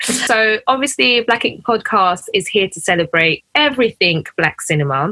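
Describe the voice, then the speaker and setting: A woman with a London accent speaks at a moderate pace with hardly any pauses, her fairly high pitch making very wide swings in a bright, sharp tone. Her loudness shifts a lot, and the sound is dry and close with no echo. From UK, Ugandan family. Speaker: podcast host. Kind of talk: casual chat.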